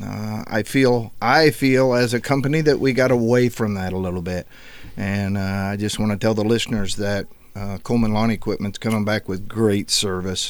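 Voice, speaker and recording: A man with a plain, everyday voice speaks at a moderate pace, fairly low in pitch with ordinary pitch variation. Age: 60s. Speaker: business owner. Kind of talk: casual chat. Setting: studio.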